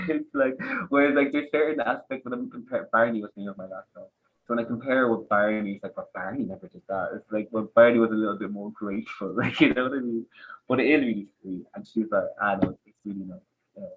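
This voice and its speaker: Speaking at a very fast pace, a man with an Irish accent uses ordinary pitch variation. His loudness swings a lot. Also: medium pitch for a man. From Ireland, Dublin area. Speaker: podcast guest, dog owner. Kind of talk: casual chat. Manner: animated.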